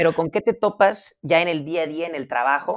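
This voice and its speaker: Over a silent background in a very clean recording, a man with an unremarkable speaking voice talks at a fairly quick pace with ordinary pitch variation. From Mazatlán, Sinaloa, Mexico. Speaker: podcast co-host. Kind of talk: casual interview.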